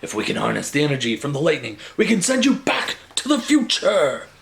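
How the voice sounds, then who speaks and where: A man puts on a character voice with a high pitch. He talks at a fairly quick pace. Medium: read story. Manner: excitable, emphatic.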